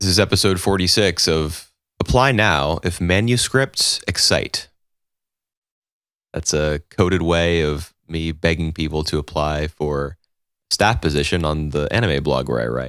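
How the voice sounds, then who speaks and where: Quiet speech at a fairly slow pace with ordinary pitch variation comes through a very clean recording with a silent background. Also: man, very deep, low pitch for a man. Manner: speaking very quietly.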